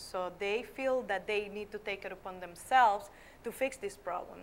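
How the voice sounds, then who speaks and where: In a Nicaraguan accent, a woman speaks at medium pitch and a moderate pace with fairly even intonation. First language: Spanish. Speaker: schoolteacher. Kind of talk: interview. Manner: halting.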